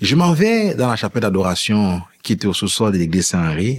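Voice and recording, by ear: With a slightly husky edge, a man talks at a fairly quick pace using big pitch swings.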